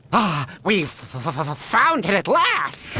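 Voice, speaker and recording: A man puts on a cartoonish character voice, pitched high and delivered at a fairly slow pace. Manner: stuttering, excitable.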